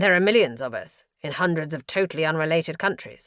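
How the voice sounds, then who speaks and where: A female-sounding, put-on character voice growls at a very fast pace with a middle pitch. The recording is very clean, with a silent background. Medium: read story. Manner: blunt, sardonic.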